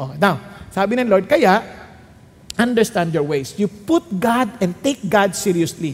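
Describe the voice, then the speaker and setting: A man talks at a high pitch with lively intonation. Noticeable background noise can be heard. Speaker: pastor. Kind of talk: sermon.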